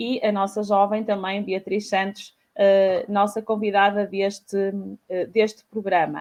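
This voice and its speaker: A woman speaks at a fairly slow pace. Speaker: talk show host. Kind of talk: panel discussion. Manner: halting, many fillers.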